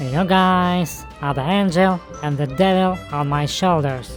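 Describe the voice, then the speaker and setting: Clear music sits in the background as a put-on character voice at a middle pitch speaks at a fairly slow pace. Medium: dub.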